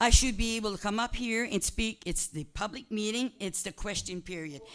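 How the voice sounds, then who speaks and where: The speaker is a woman with ordinary pitch variation. She talks at a fairly quick pace. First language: French. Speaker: resident speaking at council meeting. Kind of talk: heated public meeting exchange. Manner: insistent, interrupting.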